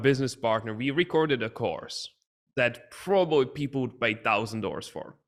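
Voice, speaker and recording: A man with a non-native accent on a very clean recording with a silent background. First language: not English. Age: young. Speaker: business coach and entrepreneur. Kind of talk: podcast interview.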